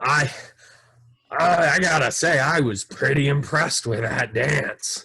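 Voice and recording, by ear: A raspy, put-on character voice from a man, fairly high in pitch and fairly slow. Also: ordinary pitch variation.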